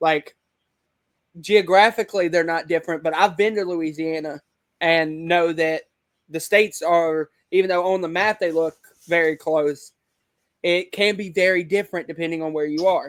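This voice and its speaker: A man with a Southern US accent talks in a high voice at a moderate pace, his intonation fairly even. He leaves long, frequent pauses, and the sound is dry and close with no echo. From US South, Alabama. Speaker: online wrestling league creator. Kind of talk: casual interview chat. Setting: video call.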